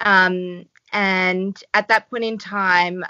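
Her intonation fairly even, a woman speaks with an Australian accent. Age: 30s. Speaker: doctor and yoga teacher. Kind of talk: casual interview.

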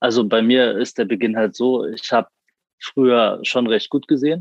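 In a normal speaking voice, a man talks at a moderate pace with fairly even intonation and medium pitch. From Frankfurt am Main, Germany. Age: 20s. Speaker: university student with a visual impairment. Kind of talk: interview.

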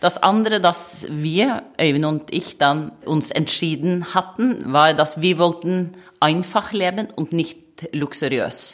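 With a Norwegian accent, a woman with a very deep, low pitch speaks at a very slow pace with ordinary pitch variation. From Norway. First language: Norwegian (speaking German). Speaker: manager. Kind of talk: interview. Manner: hesitant, with filler sounds.

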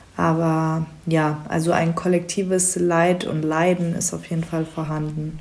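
A woman with a fairly low pitch speaks at a fairly slow pace, her intonation monotone and flat. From Germany. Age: 20s. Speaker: psychology student and refugee counselor. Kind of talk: casual chat.

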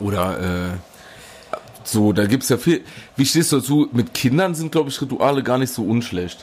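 Over noticeable background noise, a man at medium pitch speaks at a moderate pace with lively intonation. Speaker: podcast co-host. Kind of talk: casual chat. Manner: loud; animated.

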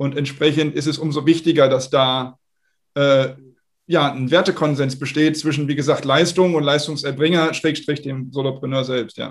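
Here a man talks at a moderate pace. His fairly high voice keeps a monotone, flat intonation. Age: 40s. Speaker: startup founder and investor. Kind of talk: interview. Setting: video call.

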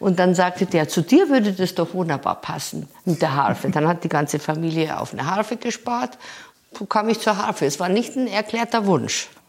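In a plain, everyday voice, a woman speaks at medium pitch and a moderate pace with lively intonation. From rural Bavaria, Germany. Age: 60s. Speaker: harpist and music professor. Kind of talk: interview. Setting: at her home.

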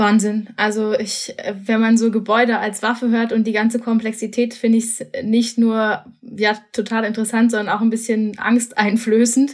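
At a moderate pace and with hardly any pauses, the somewhat breathy voice holds a monotone, flat intonation. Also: woman, fairly high pitch for a woman. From Berlin. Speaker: podcast host. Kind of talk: interview; scripted intro. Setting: remote recording.

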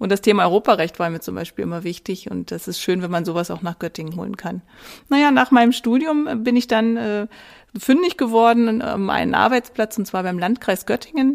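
A medium-pitched woman with lively intonation, big swings in loudness and a fairly quick pace, in a very clean recording with a silent background. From Saxony-Anhalt, eastern Germany (Wittenberg). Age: 40s. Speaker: mayoral candidate, podcast co-host. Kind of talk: casual chat.

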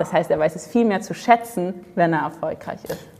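Noticeable background noise sits under a woman speaking at a fairly quick pace. Her pitch is fairly low, with ordinary variation. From Dresden, eastern Germany. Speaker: sales and charisma coach. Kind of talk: interview. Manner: animated.

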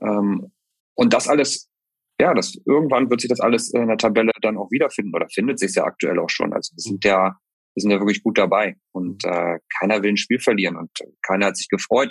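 A man speaks at a fairly quick pace in a plain, everyday voice, fairly low with ordinary pitch variation. The sound is dry and close, with no echo. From northern Germany. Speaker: football club head of communications. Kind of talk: interview.

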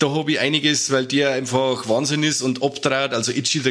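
The speech comes with a Bavarian accent over noticeable background noise. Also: man. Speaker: podcast co-host. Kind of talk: casual chat. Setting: online call.

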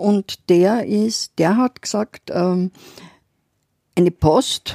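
A woman's dark, mellow tone at a very slow pace. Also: dry, close sound with no echo. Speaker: podcast co-host, city history storyteller. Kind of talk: casual chat.

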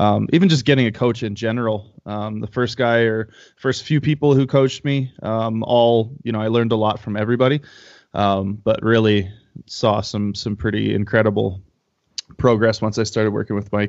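A man with a Canadian accent speaks in a plain, everyday voice at medium pitch, moderate pace, and fairly even intonation. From Canada. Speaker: powerlifter and powerlifting coach. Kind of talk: casual interview.

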